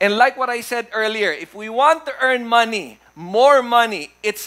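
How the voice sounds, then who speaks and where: A man's raised, projected voice carries at a moderate pace. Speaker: pastor preaching. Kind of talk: sermon. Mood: warm, humorous. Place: church.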